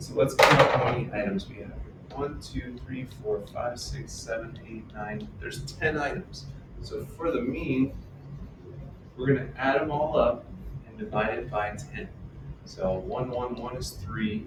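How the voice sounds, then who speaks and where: Amid noticeable background noise and audible room echo, a man talks at a fairly slow pace. His medium-pitched voice has ordinary pitch variation and big swings in loudness. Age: 60s. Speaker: math teacher. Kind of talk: lecture. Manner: animated.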